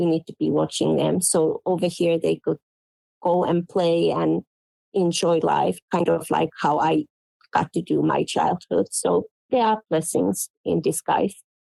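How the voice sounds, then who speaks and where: With a Finnish accent, a woman speaks at a fairly slow pace in a dry, close sound with no echo. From Finland. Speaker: quilt pattern designer. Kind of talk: interview.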